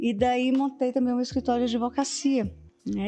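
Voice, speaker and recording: Music plays behind a woman as she talks. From Brazil, Fortaleza (Ceará, Northeast). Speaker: lawyer and university professor. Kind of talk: interview conversation.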